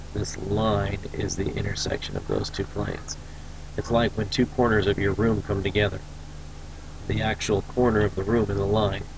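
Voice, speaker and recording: Over audible room echo, a man with vocal fry speaks at a moderate pace in a fairly low, flat monotone. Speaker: teacher. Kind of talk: recorded lecture.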